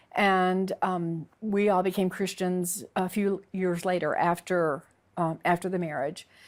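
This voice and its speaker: The woman's loudness stays very even. She speaks at a fairly slow pace and a medium pitch. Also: fairly even intonation, very clean recording, silent background. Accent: Southern US. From US South, Alabama (born Texas). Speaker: convert sharing her story. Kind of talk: interview testimony. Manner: halting, many fillers.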